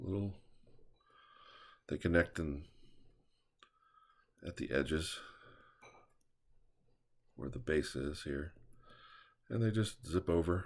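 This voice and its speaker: A man speaks very slowly, with a very deep, low pitch and a somewhat breathy sound. He leaves long, frequent pauses, and his pitch variation is ordinary. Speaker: drawing instructor. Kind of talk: drawing tutorial talk. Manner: casual.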